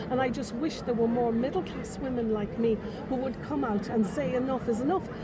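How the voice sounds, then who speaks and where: In an Irish accent, a woman talks fairly quickly with a fairly high pitch, lively intonation and very even loudness, amid noticeable background noise and audible room echo. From Ireland. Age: 60s. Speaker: rally attendee. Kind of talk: street interview. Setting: outdoors at a rally.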